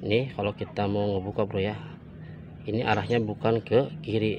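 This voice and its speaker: At a moderate pace, a man talks in a fairly low, monotone voice with flat intonation, the sound dry with no echo and light background noise. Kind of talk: tutorial. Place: open country. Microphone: phone near.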